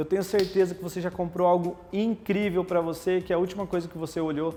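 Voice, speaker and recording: A man talks at a fairly quick pace in a high pitch. Music plays in the background. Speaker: communication coach and presenter. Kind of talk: live-stream talk. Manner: fast; animated.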